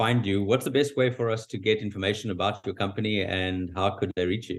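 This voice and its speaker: Someone speaks with a South African accent and ordinary pitch variation. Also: man. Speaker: podcast host. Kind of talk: interview. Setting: call.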